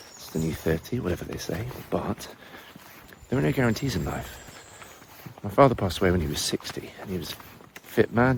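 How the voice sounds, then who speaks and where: Over noticeable background noise, a man with a fairly low pitch speaks with lively intonation. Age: 40s. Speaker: language teacher. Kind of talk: casual vlog monologue.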